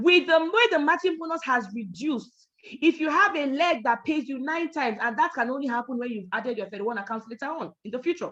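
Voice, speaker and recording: A loud, high-pitched woman at a fairly quick pace, animated in tone, with lively intonation and hardly any pauses. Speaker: network marketing trainer. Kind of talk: training talk.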